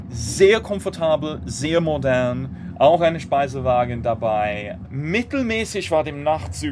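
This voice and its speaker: With an English accent, the speaker talks very slowly with hardly any pauses and very wide pitch swings, over noticeable background noise. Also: man. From Great Britain. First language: English (speaking German). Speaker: political blogger and rail campaigner. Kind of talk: interview. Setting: on a train.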